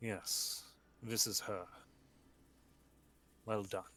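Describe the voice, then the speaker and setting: A man's put-on character voice at a medium pitch. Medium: actual play.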